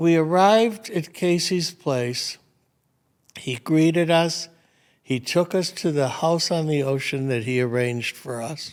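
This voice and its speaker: At a fairly slow pace, a man speaks at a fairly high pitch with ordinary pitch variation. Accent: American. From Michigan, Detroit. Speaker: retired restaurateur. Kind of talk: casual interview conversation. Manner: animated.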